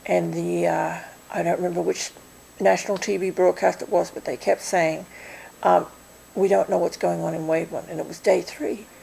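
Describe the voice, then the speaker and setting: Moderately paced female speech against noticeable background noise. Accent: American. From Australia. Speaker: volunteer organizer. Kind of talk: interview.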